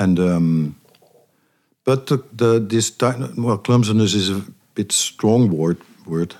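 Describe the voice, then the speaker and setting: Speaking in a Dutch accent, a man with a fairly low pitch and ordinary pitch variation moves at a very slow pace with long, frequent pauses. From eastern Netherlands. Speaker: jazz bassist and pianist. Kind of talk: interview. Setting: studio. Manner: halting.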